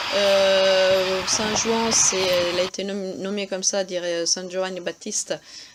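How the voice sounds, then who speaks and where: Amid noticeable background noise, a woman of medium pitch speaks very slowly in a monotone, flat intonation with hardly any pauses. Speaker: travel vlogger. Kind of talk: travel guide narration. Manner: hesitant, many fillers.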